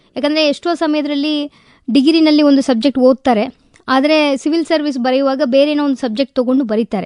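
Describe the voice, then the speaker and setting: Speaking with a Tamil accent, a woman uses a high pitch and fairly even intonation in a dry, close sound with no echo. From Tamil Nadu, India (Madurai). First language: Tamil (speaking Kannada). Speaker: district administrator (civil servant). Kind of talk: radio interview.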